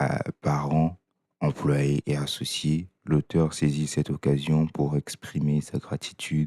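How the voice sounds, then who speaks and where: Calm and very slow, a man speaks in a very deep, low, flat monotone with a dark, mellow tone and very even loudness, the sound dry and close with no echo. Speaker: audiobook reader. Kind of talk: reading aloud. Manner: calm, measured.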